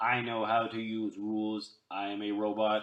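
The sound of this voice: A man's put-on character voice, fairly low and monotone, flat in intonation, at a moderate pace.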